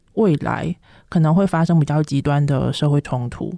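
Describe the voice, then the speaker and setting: Recorded very cleanly against a silent background, with a dry, close sound and no echo, a woman with a Taiwanese accent speaks in a dark, mellow tone with fairly even intonation. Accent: close to Taiwanese Mandarin. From China. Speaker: PhD student. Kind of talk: interview.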